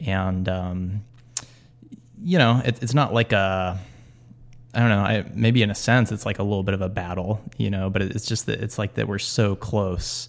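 A man talks in an ordinary speaking voice at a fairly low pitch. His pace is moderate and his intonation fairly even. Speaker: podcast host. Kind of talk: casual chat, podcast.

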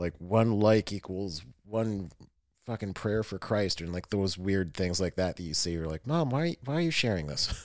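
On a very clean recording with a silent background, a man with an American accent has an ordinary speaking voice, a fairly low pitch and lively intonation at a moderate pace. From western New York, Lake Erie. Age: 30s. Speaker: podcast host, Marine veteran. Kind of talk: casual chat.

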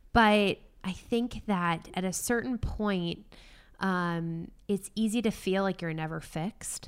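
In an ordinary speaking voice with an American accent, a woman talks fairly slowly at medium pitch with ordinary pitch variation. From small town in Massachusetts. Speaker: advertising writer and comedian. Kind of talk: casual chat. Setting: video call.

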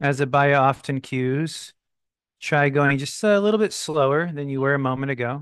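Against a quiet background, a man speaks in a plain, everyday voice at a moderate pace, with fairly high pitch and ordinary pitch variation. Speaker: meditation teacher. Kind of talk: live online yoga class and guided meditation discussion. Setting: live online video call class. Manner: warm, welcoming, casual.

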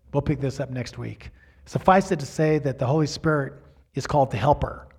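At a moderate pace, a man with a fairly high pitch speaks somewhat breathily. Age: 60s. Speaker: pastor. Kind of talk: sermon. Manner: halting.

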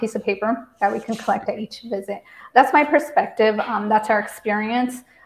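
A woman talks at a moderate pace in a fairly high, somewhat breathy voice. Her intonation stays fairly even. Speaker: site co-owner and executive director.

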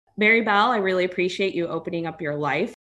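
With an American accent, a woman speaks in an ordinary speaking voice at medium pitch with ordinary pitch variation. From United States, Indian family. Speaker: podcast host, dental resident. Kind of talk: interview.

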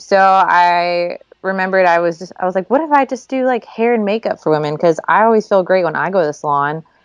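A woman's very fast speech with a slight non-native accent. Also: medium pitch for a woman, lively intonation, hardly any pauses. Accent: slight accent in her English. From Sweden and Florida. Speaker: hairstylist. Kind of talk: interview.

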